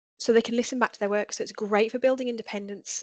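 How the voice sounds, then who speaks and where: Against a quiet background, a woman speaks with fairly even intonation in a dry, close sound with no echo. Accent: Birmingham. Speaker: edtech trainer, former teacher. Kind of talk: webinar tutorial. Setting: online webinar.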